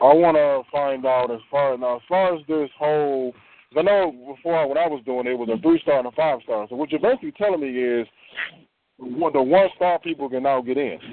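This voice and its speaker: With an American accent and a plain, everyday voice, a man talks at a fairly quick pace and a fairly high pitch, with ordinary pitch variation. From Detroit. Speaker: sales recruit. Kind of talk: recruiting phone call.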